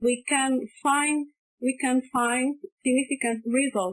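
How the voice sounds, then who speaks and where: A woman's very slow speech with a non-native accent and a dry, close sound with no echo. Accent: foreign. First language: not English. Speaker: postgraduate researcher. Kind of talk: academic presentation. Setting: online conference. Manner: halting, repeats words.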